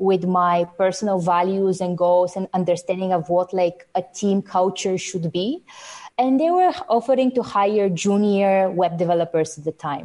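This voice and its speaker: Speaking in a Bulgarian accent, a woman has a dark, mellow tone, a medium pitch, ordinary pitch variation and a moderate pace. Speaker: software developer. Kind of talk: casual interview.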